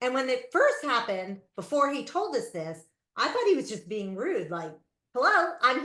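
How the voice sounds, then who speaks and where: A woman with an American accent speaks in a raised, projected voice with a bright, sharp tone. Her pitch swings very widely. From New Jersey. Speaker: public speaking club member. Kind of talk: motivational speech. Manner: fast.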